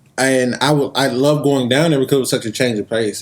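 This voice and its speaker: A man with a medium pitch and ordinary pitch variation talks at a fairly quick pace while noticeable background noise runs underneath. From US South, Atlanta, Georgia. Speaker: podcast host being interviewed. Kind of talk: casual interview chat. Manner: relaxed, casual.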